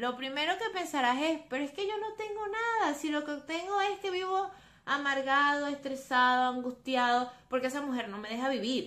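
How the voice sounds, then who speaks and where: A woman with a high pitch and a bright, sharp tone speaks at a moderate pace with very wide pitch swings and hardly any pauses. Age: 20s. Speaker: psychologist and podcast host. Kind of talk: solo podcast monologue on psychology.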